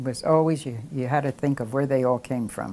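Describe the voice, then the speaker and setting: At a moderate pace, a woman with a Philadelphia accent speaks in a very deep, low pitch, with a dark, mellow tone and ordinary pitch variation. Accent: Philadelphia American English. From Philadelphia, US. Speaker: oral history interviewee. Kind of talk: casual interview. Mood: warm, nostalgic, smiling. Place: home room. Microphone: lapel.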